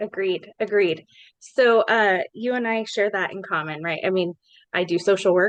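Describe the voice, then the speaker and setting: A woman with an American accent talks in an unremarkable speaking voice at a moderate pace. Her pitch is medium with ordinary variation, and the sound is dry and close with no echo. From Colorado, Larimer County. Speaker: podcast host, social worker. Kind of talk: podcast interview.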